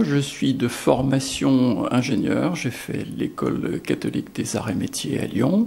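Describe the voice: A man talks fairly slowly in a dark, mellow tone with vocal fry and big pitch swings.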